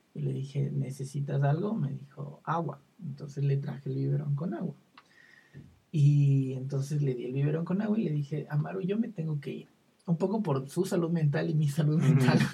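At a moderate pace, a man speaks in a dark, mellow, somewhat breathy tone, fairly high in pitch with ordinary pitch variation. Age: 20s. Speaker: psychologist. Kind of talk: casual chat.

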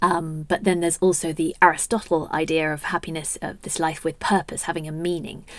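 A woman with a Home Counties accent, fairly low in pitch and monotone, at a fairly quick pace, on a very clean recording with a silent background. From southern England. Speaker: happiness researcher and author. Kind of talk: casual interview chat.

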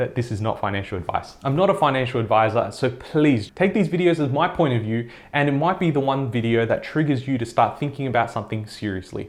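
A man's fairly high voice with lively intonation at a fairly quick pace. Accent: Australian. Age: 20s. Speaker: personal finance YouTuber. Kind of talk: vlog-style monologue to camera.

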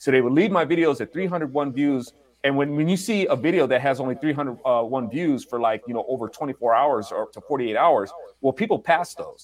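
A man speaks at a moderate pace in a normal speaking voice, his pitch fairly high and his pitch variation ordinary. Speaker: album producer, multimedia creator. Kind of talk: casual interview chat.

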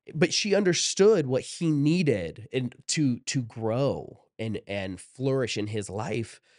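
A man's medium-pitched voice with an American accent, very slow, with very wide pitch swings and hardly any pauses. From Ohio, US Midwest. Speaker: creative manager and video producer. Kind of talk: casual interview chat.

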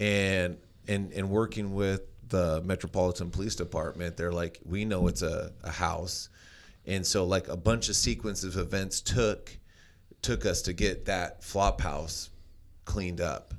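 This man's voice sits very deep and low. Nothing can be heard behind it on this very clean recording. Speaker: podcast co-host. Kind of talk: casual interview chat, joking. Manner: joking, animated.

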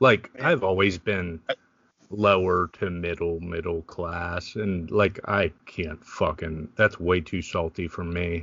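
This man's pitch is very deep and low. He speaks at a very slow pace with fairly even intonation. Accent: American. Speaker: podcast co-host. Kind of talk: casual banter. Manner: profane, jokey.

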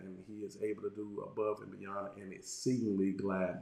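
A man at a moderate pace, with audible room echo. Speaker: pastor. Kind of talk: sermon. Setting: livestream with chat.

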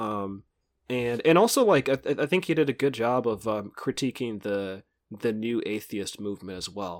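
In a very clean recording with a silent background, a man with an unremarkable speaking voice talks at a moderate pace, with medium pitch and ordinary pitch variation. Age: 30s. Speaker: podcast host and independent journalist. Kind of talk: casual chat.

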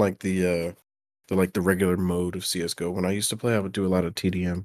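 This man's delivery is very fast. The audio is very clean and the background is silent. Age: 20s. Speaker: gamer guest. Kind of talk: casual chat.

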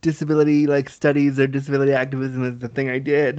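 A man speaks with a Canadian accent against a quiet background. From Canada. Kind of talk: casual interview chat.

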